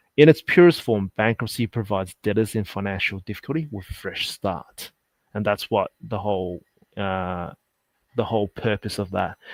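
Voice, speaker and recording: Fairly low male pitch with ordinary variation, in an Australian accent, on a very clean recording with a silent background. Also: moderate pace, dry, close sound with no echo. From Sydney, Australia. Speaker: insolvency accountant. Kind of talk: interview.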